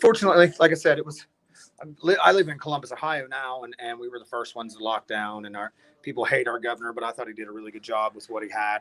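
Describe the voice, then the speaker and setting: A man with an American accent, medium pitch, a very fast pace and big swings in loudness. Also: ordinary pitch variation. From West Virginia. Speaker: hard rock band musician. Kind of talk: casual chat.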